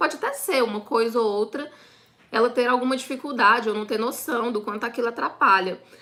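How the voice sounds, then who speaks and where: The speech moves at a fairly quick pace with ordinary pitch variation. Noticeable background noise sits behind it. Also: woman. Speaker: online business course instructor. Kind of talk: live online class. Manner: fast.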